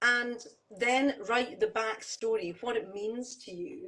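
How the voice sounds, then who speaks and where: A woman with a Scottish accent. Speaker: jazz singer-songwriter. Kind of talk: casual chat. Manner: hesitant, many fillers.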